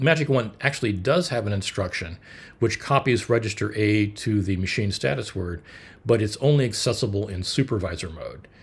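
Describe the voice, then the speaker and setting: The speech moves at a moderate pace, somewhat breathy and with ordinary pitch variation. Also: man. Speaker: hobbyist computer builder. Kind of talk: technical explainer video. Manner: halting, many fillers.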